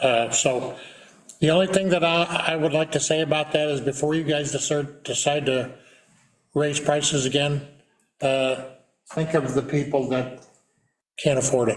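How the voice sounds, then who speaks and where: Here a man speaks at a moderate pace with long, frequent pauses and very even loudness. His pitch is fairly high, his intonation fairly even, with audible room echo. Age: 70s. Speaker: city councilman. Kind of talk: public council meeting discussion.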